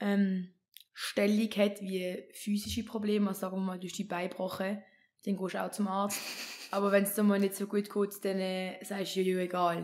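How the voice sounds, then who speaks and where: A woman speaks at a moderate pace over a quiet background. Her intonation stays monotone and flat. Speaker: podcast guest. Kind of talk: interview answer. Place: home room. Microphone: studio mic.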